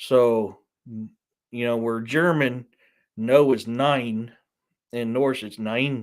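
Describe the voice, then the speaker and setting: Speaking at a medium pitch with a Southern US accent and fairly even intonation, a man is heard on a very clean recording with a silent background. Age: 40s. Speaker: author. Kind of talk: casual live stream chat. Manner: casual, hesitant with fillers.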